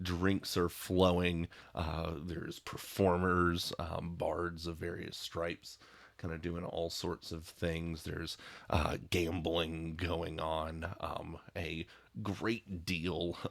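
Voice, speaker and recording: A man's raspy, very deep put-on character voice at a very slow pace, in a very clean recording with a silent background. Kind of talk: tabletop narration. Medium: actual play. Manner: casual, hesitant, filler-heavy.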